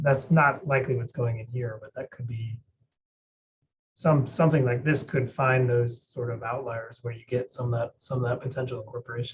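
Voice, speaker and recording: Quiet and somewhat breathy, a man mumbles at a fairly quick pace, with a medium pitch and fairly even intonation. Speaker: scientist audience member. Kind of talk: Q&A discussion. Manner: mumbling.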